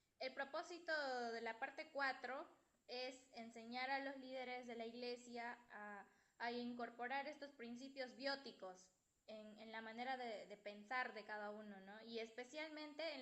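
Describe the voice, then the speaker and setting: Over noticeable background noise, a woman with a high voice speaks at a fairly slow pace with ordinary pitch variation. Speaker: student presenting in class. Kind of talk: class presentation. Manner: soft-spoken. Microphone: too quiet, no headphones.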